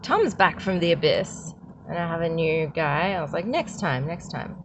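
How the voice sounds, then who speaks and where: Amid noticeable background noise, a woman with an Australian accent speaks at a fairly low pitch. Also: moderate pace. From Australia, Bulgarian migrant family. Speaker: artist vlogger. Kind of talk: casual vlog. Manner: animated.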